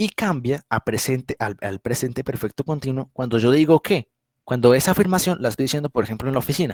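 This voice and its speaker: At a fairly quick pace, a man with a medium-pitched voice and ordinary pitch variation is heard in a dry, close sound with no echo. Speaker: English teacher. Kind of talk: online class lecture. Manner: fast; halting.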